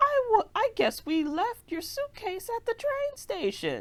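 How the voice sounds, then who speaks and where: Using a put-on character voice, a woman squeaks at an extremely high pitch with very wide pitch swings and a fairly slow pace. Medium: read story. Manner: warm, fussing, old-fashioned.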